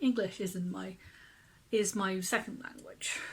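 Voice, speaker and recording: A somewhat breathy woman's voice at medium pitch, with ordinary pitch variation. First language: Finnish. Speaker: zine writer. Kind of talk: casual talk; reading aloud.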